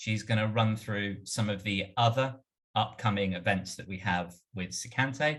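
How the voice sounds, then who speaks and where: The speaker has a British accent, a moderate pace and fairly even intonation. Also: man. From UK. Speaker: marketing automation strategist. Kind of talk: webinar presentation.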